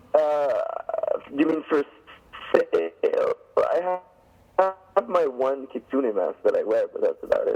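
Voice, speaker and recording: A man talks with a Quebec accent. Music plays in the background. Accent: French Canadian accent in English. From Quebec, Canada. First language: French. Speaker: pro wrestler. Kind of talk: interview.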